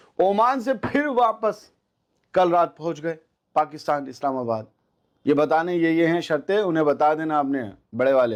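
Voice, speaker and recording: A plain, everyday voice from a man, fairly high in pitch with lively intonation, against a quiet background. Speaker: news anchor. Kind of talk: news commentary to camera.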